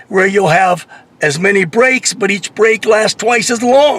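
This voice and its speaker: There is noticeable background noise as a man talks at a high pitch with ordinary pitch variation. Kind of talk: unscripted rant to camera. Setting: in a car. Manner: irritated, complaining.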